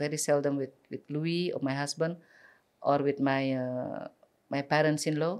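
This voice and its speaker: Woman with an Indonesian accent at a moderate pace, fairly even intonation, quiet background. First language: Balinese. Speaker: community advocate; podcast guest. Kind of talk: interview. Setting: studio. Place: studio. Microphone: studio mic.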